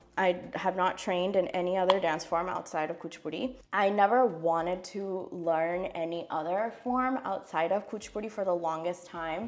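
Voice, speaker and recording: A woman with an American accent and an unremarkable speaking voice talks at a moderate pace with hardly any pauses. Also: medium pitch for a woman, ordinary pitch variation. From US, California. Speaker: classical Indian dancer. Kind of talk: casual get-ready-with-me vlog. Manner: casual, chatty.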